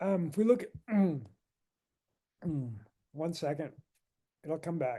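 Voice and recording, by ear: A raspy, put-on character voice moves at a fairly slow pace with lively intonation and long, frequent pauses. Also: woman, fairly low pitch for a woman.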